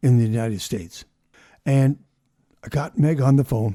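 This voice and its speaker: With a dark, mellow tone and somewhat breathy quality, the speaker uses lively intonation at a moderate pace in a very clean recording with a silent background. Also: man. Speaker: podcast host. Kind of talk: interview questions.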